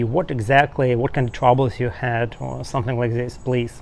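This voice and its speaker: A man speaks with a Russian accent at a medium pitch. His intonation is monotone and flat. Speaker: soldier and YouTuber. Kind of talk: interview. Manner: halting, non-native phrasing.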